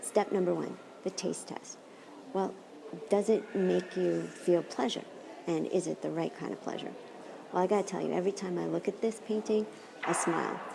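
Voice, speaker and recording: A soft-spoken woman talks at a moderate pace, leaving long, frequent pauses. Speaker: philosophy professor. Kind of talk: lecture. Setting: art gallery. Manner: animated.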